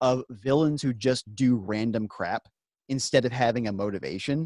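A man speaks in a dry sound with no echo over a quiet background. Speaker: podcast co-host. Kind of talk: casual podcast discussion. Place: home room. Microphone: studio mic.

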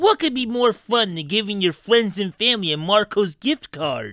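A put-on character voice with a fairly high pitch. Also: moderate pace.

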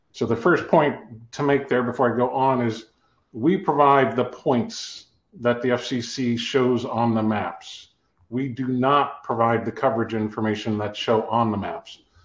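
Fairly slow, fairly even delivery in an American accent, with audible room echo. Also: man. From Ohio. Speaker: company CEO, telecom cost modeling expert; guest. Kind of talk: webinar interview. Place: office. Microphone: video call.

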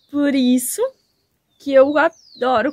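A woman talks at a very slow pace. Her intonation is fairly even. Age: 30s. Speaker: YouTuber. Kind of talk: vlog monologue. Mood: warm, grateful. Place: open country. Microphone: phone near.

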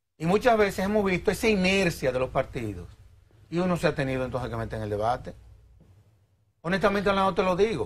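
A man talks at a very fast pace, yet with long, frequent pauses. His pitch is high and swings very widely. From Dominican Republic. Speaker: lawyer and civil society executive; interview guest. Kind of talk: TV interview. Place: studio. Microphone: lapel.

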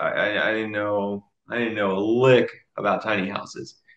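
A man with an American accent at a fairly slow pace, audible room echo over a quiet background. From Dallas, Texas. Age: 20s. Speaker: army drill sergeant and real estate investor. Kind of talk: interview answer. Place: home room. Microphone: video call.

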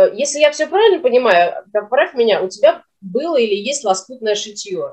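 Against a quiet background, a woman speaks at a high pitch with very wide pitch swings. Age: 40s. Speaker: small business owner; interview guest. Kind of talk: casual chat. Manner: animated. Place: home room. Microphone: video call.

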